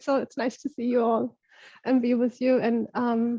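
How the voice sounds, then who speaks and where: A woman speaks at a moderate pace in a German accent, with a high pitch and a dark, mellow tone. The sound is dry and close with no echo, over a quiet background. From Germany, Berlin suburbs. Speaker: facilitator of online circle. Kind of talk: casual group video chat.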